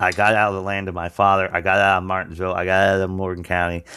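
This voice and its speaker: A very fast man's voice with an American accent: very deep and low in pitch, bright and sharp in tone, monotone and flat, on a very clean recording with a silent background. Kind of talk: testimony and sermon-style preaching. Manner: earnest, halting with fillers.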